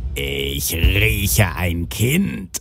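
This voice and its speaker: A very deep, low-pitched put-on character voice from a man. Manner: menacing, sniffing.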